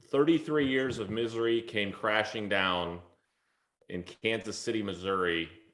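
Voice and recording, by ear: A man speaks at a moderate pace with fairly low pitch and ordinary pitch variation. His tone is fairly bright, and audible room echo surrounds it.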